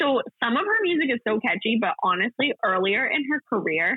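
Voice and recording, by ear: A woman's fairly high voice, gravelly with a husky, rough edge, makes big pitch swings in a dry, close recording with no echo. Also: fairly quick pace.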